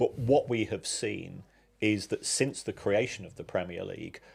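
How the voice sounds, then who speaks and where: A man talks at a fairly slow pace in an English accent, on a very clean recording with a silent background. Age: 60s. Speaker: football finance expert. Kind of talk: podcast interview.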